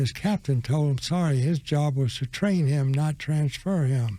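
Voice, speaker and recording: Speaking at a fairly slow pace with an American accent, a man uses a fairly high pitch, ordinary pitch variation and a dark, mellow, somewhat breathy tone. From US South, Florida. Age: 100+ (80s+). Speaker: war veteran. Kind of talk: interview storytelling. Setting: studio.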